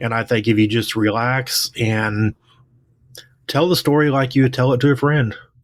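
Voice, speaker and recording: A man's medium-pitched voice in a strong Oklahoma accent, at a moderate pace with fairly even intonation. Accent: Oklahoma twang, strong. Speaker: author and English teacher. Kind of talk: casual interview chat.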